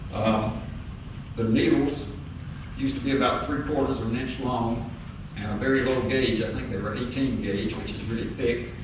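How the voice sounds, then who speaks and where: With a Southern US accent, a man speaks at a medium pitch and a moderate pace, using fairly even intonation and long, frequent pauses, with audible room echo and noticeable background noise. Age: 70s. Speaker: public hearing witness. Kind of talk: testimony. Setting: public hearing with microphone. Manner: halting with frequent fillers.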